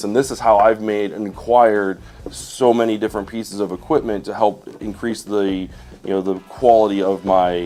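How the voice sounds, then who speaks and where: At a moderate pace, a man talks in a fairly low pitch. His pitch varies in an ordinary way, with noticeable background noise behind him. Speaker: YouTuber and wedding videographer. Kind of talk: live stream tutorial. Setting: home studio live stream. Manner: halting, many fillers.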